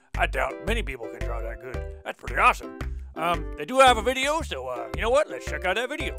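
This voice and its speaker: Faint music plays in the background as a put-on character voice rattles along at a very fast pace. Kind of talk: comedic game review show hosting. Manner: casual, rambling, laid-back.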